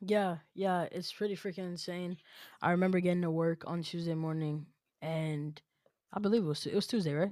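With an American accent, a woman speaks at a fairly quick pace in a fairly low pitch and a dark, mellow tone, her intonation fairly even, on a very clean recording with a silent background. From New York City. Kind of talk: casual chat.

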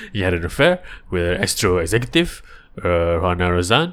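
Mumbling, a man lets his pitch swing very widely. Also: very clean recording, silent background. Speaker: podcast host. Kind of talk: solo podcast monologue.

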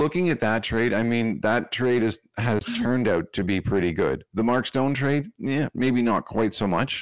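A man's medium-pitched voice, an ordinary speaking voice, with lively intonation, moderate pace, hardly any pauses, very even loudness and a dry, close sound with no echo. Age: middle-aged. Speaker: hockey podcaster. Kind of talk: casual chat.

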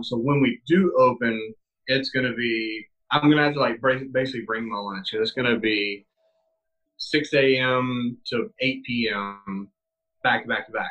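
In an ordinary speaking voice, a man with an American accent talks at a medium pitch and a fairly slow pace, with fairly even intonation. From US South (South Carolina). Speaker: strength and conditioning coach, army veteran. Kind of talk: interview.

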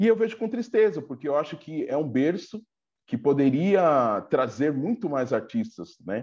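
A man's fairly high voice with very wide pitch swings, at a fairly slow pace over a quiet background. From Brazil, Diadema (ABC region of São Paulo). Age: 40s. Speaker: samba web show host and interviewer. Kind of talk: casual interview.

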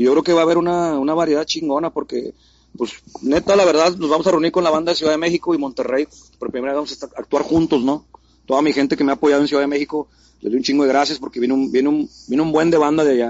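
A man speaks at a very fast pace with a fairly high pitch. His intonation stays fairly even. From Mexico City. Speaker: graffiti artist. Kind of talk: casual interview.

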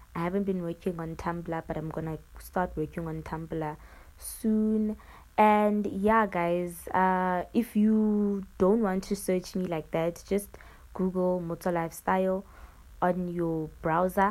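Over a silent background in a very clean recording, a woman of medium pitch speaks very slowly with fairly even intonation. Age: 20s. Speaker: podcaster. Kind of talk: casual solo monologue. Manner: rambling, self-correcting.

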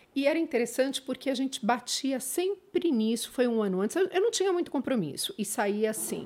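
There is noticeable background noise. A woman talks fairly quickly with very wide pitch swings. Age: 50s. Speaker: former judge and social media creator. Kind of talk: casual interview chat.

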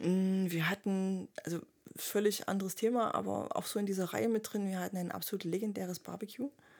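Fairly even intonation in a normal speaking voice, at a fairly quick pace. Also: woman, medium pitch for a woman. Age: 30s. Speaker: veterinarian and club member. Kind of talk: casual chat.

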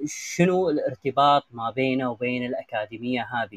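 Recorded with a dry, close sound and no echo, a normal speaking voice goes at a fairly slow pace. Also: man. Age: young. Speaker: live chat room host. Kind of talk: interview.

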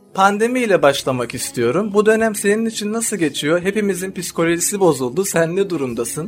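A man talks at a fairly quick pace in a high voice, with lively intonation and hardly any pauses. Music plays in the background. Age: 20s. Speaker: podcast host. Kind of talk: interview.

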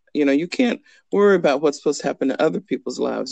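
A woman with an American accent speaks very fast, her voice showing vocal fry and ordinary pitch variation. The sound is dry and close, with no echo. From US, army bases (Georgia, Kentucky). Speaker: estate attorney. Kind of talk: casual interview.

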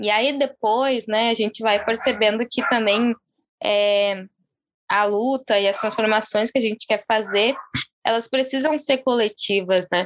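Against a quiet background, with a dry, close sound and no echo, a woman speaks fairly slowly in a fairly high pitch, her loudness very even and her pitch variation ordinary. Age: 20s. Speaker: city councillor candidate and activist. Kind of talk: interview. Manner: calm.

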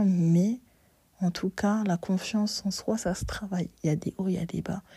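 Monotone, flat intonation in a woman's dark, mellow, somewhat breathy voice. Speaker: solo podcast host. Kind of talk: casual monologue. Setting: bedroom.

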